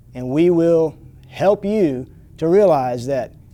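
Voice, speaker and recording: A man's unremarkable speaking voice at a fairly slow pace, with lively intonation. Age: 60s. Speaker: martial arts instructor. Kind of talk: promotional pitch.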